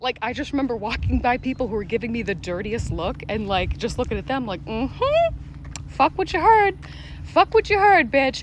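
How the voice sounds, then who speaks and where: Clear background noise behind a woman's fairly brisk speech. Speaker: vlogger sharing personal testimony. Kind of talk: personal testimony monologue. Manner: animated, conversational.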